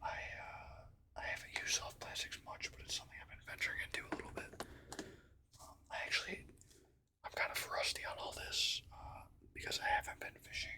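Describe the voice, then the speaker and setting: Whispering in a relaxed tone at a fairly quick pace, the speaker leaves long, frequent pauses over noticeable background noise. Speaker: ASMR content creator and hobby angler. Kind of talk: casual show-and-tell talk to camera. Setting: home recording with desktop microphone. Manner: relaxed, hesitant, filler-heavy, soft-spoken.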